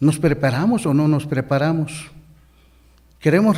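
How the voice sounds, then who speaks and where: Heard with audible room echo, a man speaks in a fairly high pitch with a dark, mellow tone. His pitch variation is ordinary. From Mexico, Chiapas highlands. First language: Ch'ol (speaking Spanish). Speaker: deacon preacher. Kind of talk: sermon.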